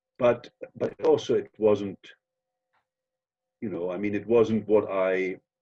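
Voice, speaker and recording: With a German accent, a man speaks in a fairly low pitch with monotone, flat intonation and long, frequent pauses, the sound dry and close with no echo. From Germany. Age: 60s. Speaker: actor. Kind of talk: interview. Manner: halting.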